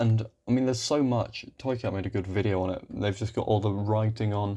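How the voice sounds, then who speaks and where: Speaking with a British accent at a fairly quick pace, a man has a fairly low pitch and a dark, mellow tone. His tone is relaxed and his intonation fairly even. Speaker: YouTuber commentating on maps. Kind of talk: casual commentary. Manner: halting, many fillers.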